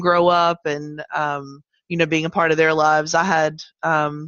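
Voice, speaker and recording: This is a woman speaking. She has a slight Southern US accent. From Virginia. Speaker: cancer survivor and advocate. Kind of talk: interview. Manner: hesitant, many fillers.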